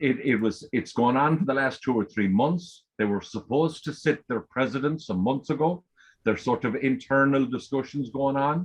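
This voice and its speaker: A man with an Irish accent at a moderate pace. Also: medium pitch for a man, ordinary pitch variation. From Ireland. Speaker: forum member asking questions on a call-in show. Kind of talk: casual call-in discussion.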